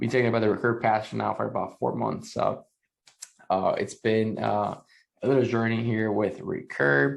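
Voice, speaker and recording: A quiet man at a moderate pace. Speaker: NFT content creator. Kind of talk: casual commentary reading an article. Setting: at home at night, family asleep. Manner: quiet, talking low; hesitant, many fillers.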